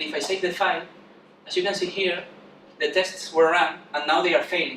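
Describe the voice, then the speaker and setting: The recording carries audible room echo and noticeable background noise. A man is speaking. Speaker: software developer. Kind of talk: conference talk. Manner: fast.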